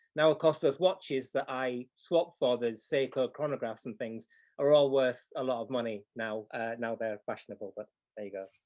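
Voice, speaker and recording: At a moderate pace and with a Yorkshire accent, the speaker's loudness swings widely while the pitch varies in an ordinary way. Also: man, medium pitch for a man. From Yorkshire, northern England. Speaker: clock repair teacher. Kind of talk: live tutorial demo. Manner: hesitant, many fillers.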